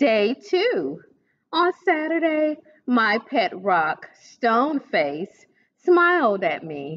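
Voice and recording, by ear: A woman's fairly high voice, slow pace, big pitch swings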